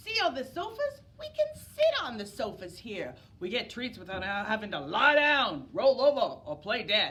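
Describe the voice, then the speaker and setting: A woman puts on a character voice pitched high. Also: moderate pace. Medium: read story. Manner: easygoing, confident.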